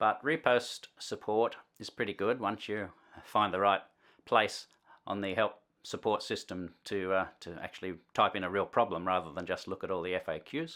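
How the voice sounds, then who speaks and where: With an Australian accent, a man of fairly low pitch speaks at a moderate pace in a bright, sharp tone with ordinary pitch variation, in a very clean recording with a silent background. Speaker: musician and video tutorial host. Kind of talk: tutorial. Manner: casual, hesitant with frequent fillers.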